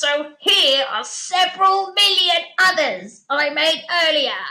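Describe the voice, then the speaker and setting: A woman cackles in a put-on character voice pitched extremely high, speaking at a fairly slow pace. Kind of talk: comic overacting. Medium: read story. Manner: cackling, gloating.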